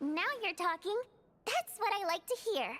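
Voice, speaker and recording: A woman does a put-on character voice that is squeaky and extremely high in pitch, at a moderate pace. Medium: video game. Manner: chatty, expressive.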